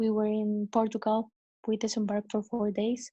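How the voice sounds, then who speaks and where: Against a quiet background, a woman speaks with a fairly high pitch and a dark, mellow, somewhat breathy tone. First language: not English. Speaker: cruise ship crew member. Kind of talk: interview. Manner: halting.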